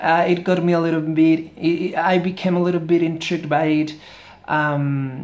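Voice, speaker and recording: The speaker talks at a moderate pace with a Spanish accent. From Spain. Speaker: book reviewer, YouTuber. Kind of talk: book review vlog. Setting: near a street, outdoors-ish. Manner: halting.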